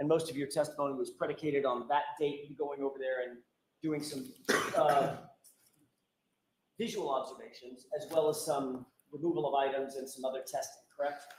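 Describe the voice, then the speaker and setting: A fairly high-pitched man at a fairly quick pace, with fairly even intonation, long and frequent pauses and audible room echo. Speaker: defense attorney. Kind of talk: cross-examination in court. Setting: courtroom. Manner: loud, raised voice; formal.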